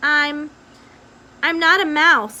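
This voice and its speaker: Using a put-on character voice, a woman speaks in a raised, projected way at a high pitch. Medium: read story. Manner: hesitant, halting.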